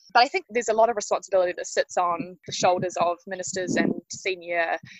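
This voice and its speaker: Speaking at a fairly quick pace, a woman with a New Zealand accent has a medium pitch. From New Zealand, Wellington. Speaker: justice reform advocate. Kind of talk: interview. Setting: outdoors.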